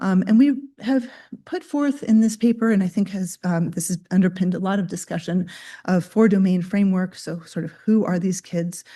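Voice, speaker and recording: The voice is somewhat breathy, with a dark, mellow tone and ordinary pitch variation. It moves at a fairly quick pace over a quiet background. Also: woman. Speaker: pediatrician and researcher. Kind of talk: lecture. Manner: halting, many fillers.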